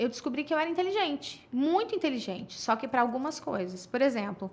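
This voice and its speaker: Over noticeable background noise, a woman speaks at a high pitch and fairly quick pace, her pitch swinging very widely. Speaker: sexologist. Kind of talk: casual chat. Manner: fast; interrupts others.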